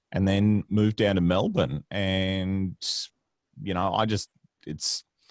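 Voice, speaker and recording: Speaking very slowly in a Queensland accent, a man with a very deep, low pitch keeps his intonation fairly even in a dry, close recording with no echo. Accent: Australian, Queensland. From Queensland, Australia (rural farming town). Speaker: comedian and voice-over artist. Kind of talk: casual chat.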